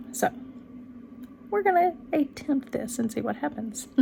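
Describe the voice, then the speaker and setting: A woman with a Texan accent, amid noticeable background noise. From Texas, rural area near Dallas. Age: 40s. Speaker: book channel vlogger. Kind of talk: casual vlog monologue. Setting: home bedroom. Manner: many ums and restarts.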